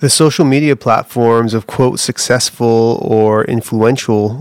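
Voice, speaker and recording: In an ordinary speaking voice, a man talks at a medium pitch with fairly even intonation, the sound dry and close with no echo. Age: 30s. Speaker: pastor. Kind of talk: reading aloud. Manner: reflective.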